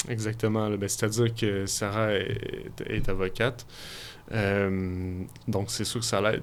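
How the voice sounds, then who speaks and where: Audible room echo surrounds a man speaking at a very slow pace in a fairly low, monotone, flat voice. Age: 30s. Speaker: filmmaker. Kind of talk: radio interview. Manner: halting.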